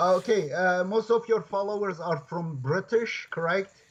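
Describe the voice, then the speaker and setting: A man with a Kurdish-Turkish accent speaks fairly slowly in a high pitch, with ordinary pitch variation. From Turkey, Kurdish region. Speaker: professor and Quran translator. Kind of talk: interview conversation. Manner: halting.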